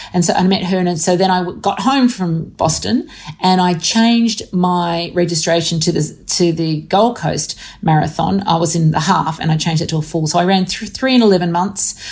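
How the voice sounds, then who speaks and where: A woman with an Australian accent talks at a moderate pace and fairly low pitch, somewhat breathy, with ordinary pitch variation. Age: 50s. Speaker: author and professor. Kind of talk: interview.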